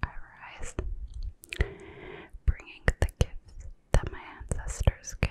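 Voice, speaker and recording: A woman whispers at a very slow pace, her sound dry and close with no echo, against noticeable background noise. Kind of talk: poetry reading. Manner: soft-spoken, whispering.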